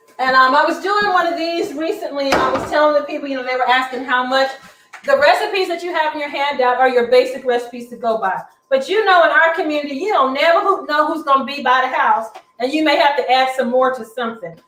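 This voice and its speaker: Against noticeable background noise, a woman with a high pitch talks at a very fast pace in an animated tone, her pitch varying in an ordinary way. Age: 60s. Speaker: cooking instructor. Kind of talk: cooking demonstration.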